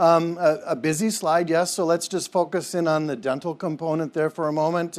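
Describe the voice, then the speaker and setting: A high-pitched man with a Minnesotan accent at a moderate pace. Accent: Minnesota. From Minnesota, US Midwest. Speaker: dental health system leader. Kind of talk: conference presentation. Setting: conference hall with audience. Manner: halting, many fillers and repetitions.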